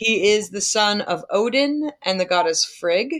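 Lively intonation carries this very slow delivery in an American accent. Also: woman. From US Northeast, Long Island. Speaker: podcast co-host. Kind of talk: casual chat. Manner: animated.

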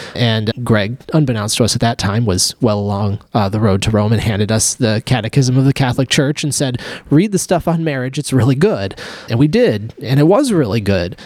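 A man's plain, everyday voice at a moderate pace with ordinary pitch variation, in a dry, close sound with no echo. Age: 30s. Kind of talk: casual discussion.

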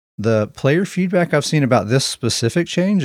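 Using a plain, everyday voice, a man talks at a fairly quick pace with lively intonation. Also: very clean recording, silent background. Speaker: gaming podcast co-host. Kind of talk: casual chat.

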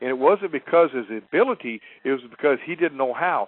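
Speaking at a moderate pace, a man with an ordinary speaking voice uses a fairly high pitch and lively intonation. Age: 50s. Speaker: hunting guide. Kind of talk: interview.

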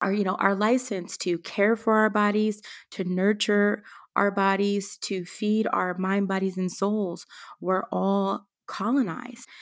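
On a very clean recording with a silent background, a woman speaks at a fairly slow pace in a monotone, flat intonation. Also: medium pitch for a woman. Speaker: wellness entrepreneur and educator. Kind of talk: interview conversation.

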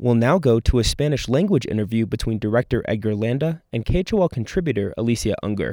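A man speaks very fast with a medium pitch and lively intonation, hardly pausing at all. The recording is very clean, with a silent background. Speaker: radio reporter. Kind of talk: news reporting.

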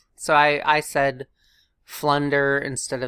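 Her pitch is very deep and low. This voice belongs to a woman. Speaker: podcast co-host. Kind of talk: casual chat.

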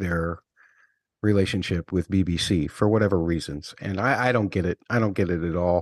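Heard on a very clean recording with a silent background and a dry, close sound with no echo, a man with an ordinary speaking voice and a fairly low pitch talks at a fairly quick pace. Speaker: podcast host. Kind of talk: casual chat.

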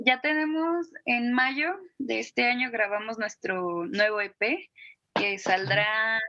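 A woman has a bright, sharp tone and a fairly high pitch. Her intonation is lively. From Guadalajara, Mexico. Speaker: musician. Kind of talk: interview.

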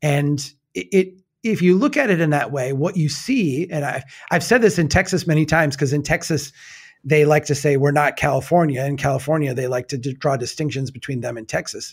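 Recorded very cleanly over a silent background, a man with a Minnesota accent talks at a fairly quick pace in a somewhat breathy voice, fairly high in pitch with ordinary variation. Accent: Minnesota Midwestern. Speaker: nonprofit founder. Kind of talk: casual chat. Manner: laughing, friendly.

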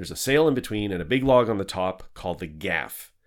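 On a very clean recording with a silent background, a man speaks in a plain, everyday voice at medium pitch. His pace is fairly quick and his intonation lively. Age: 40s. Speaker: podcast host and tall ship sailor. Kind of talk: casual interview chat.

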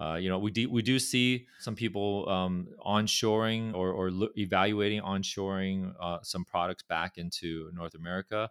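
A man with a Californian accent speaks at a very deep, low pitch. The recording is very clean, with a silent background and a dry, close sound with no echo. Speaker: pharma company chairman. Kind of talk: casual interview.

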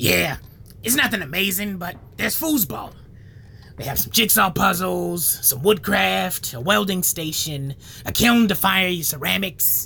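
A put-on character voice at a middle pitch comes through over clear background noise. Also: moderate pace. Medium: audio drama. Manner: deadpan, rambling.

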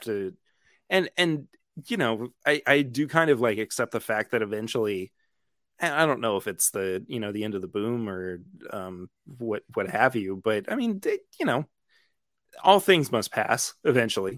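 With a plain, everyday voice, a man speaks at a moderate pace and medium pitch with lively intonation, in a dry, close sound with no echo on a very clean recording with a silent background. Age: 20s. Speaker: whiskey podcaster and musician. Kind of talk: casual chat.

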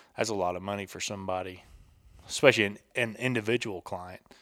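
A man speaks with a Southern US accent at a fairly low pitch. The recording is very clean, with a silent background. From US South, Tennessee near Chattanooga. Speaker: hunting photographer and military veteran. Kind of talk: casual chat. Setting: home kitchen.

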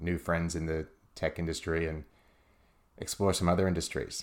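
His intonation stays flat and monotone. The man's pitch is very deep and low. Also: very clean recording, silent background. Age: 20s. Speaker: entrepreneur and podcast host. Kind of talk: solo podcast monologue. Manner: halting, many fillers and restarts.

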